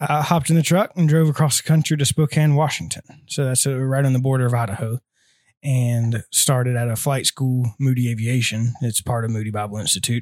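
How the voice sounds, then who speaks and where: Heard on a very clean recording with a silent background, a man in an unremarkable speaking voice talks at a fairly quick pace and medium pitch with ordinary pitch variation, in a dry, close sound with no echo. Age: 20s. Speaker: missionary aircraft mechanic. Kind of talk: casual interview.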